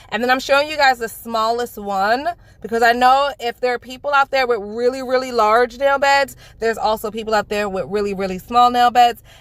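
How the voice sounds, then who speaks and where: Loud and animated, a woman with a New York accent talks at a fairly quick pace in a high pitch with ordinary pitch variation. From New York (Bronx), Jamaican family. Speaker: nail beauty YouTuber. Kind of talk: product unboxing review.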